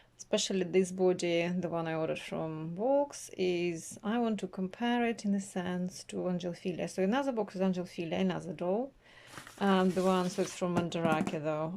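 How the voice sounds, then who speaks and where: Soft-spoken, a woman talks at a moderate pace and medium pitch with ordinary pitch variation. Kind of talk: casual talk to camera, unboxing. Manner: quiet, soft-spoken.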